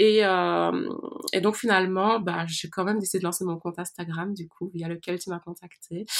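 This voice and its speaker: This woman talks at a moderate pace and a fairly low pitch. Her intonation is monotone and flat. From Belgium. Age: 20s. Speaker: astrologer. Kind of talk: interview. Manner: soft-spoken.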